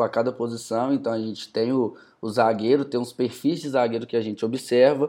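Moving fairly quickly, the clip carries an ordinary speaking voice. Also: man. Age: 20s. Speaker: football market analyst. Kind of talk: casual chat.

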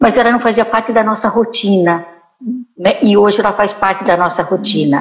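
A woman at medium pitch and a moderate pace, with ordinary pitch variation. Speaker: psychologist, writer and teacher. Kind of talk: talk show conversation. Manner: quiet at times.

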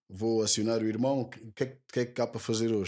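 In a very clean recording with a silent background, a man talks at a very fast pace in a dark, mellow tone. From Portugal, Lisbon (Lumiar). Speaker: rapper. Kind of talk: casual interview.

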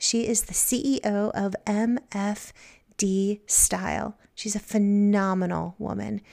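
A woman's medium-pitched voice, dark and mellow in tone, at a very slow pace with fairly even intonation. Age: 40s. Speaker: podcast host, psychotherapist and poet. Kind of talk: personal storytelling monologue. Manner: warm, gentle.

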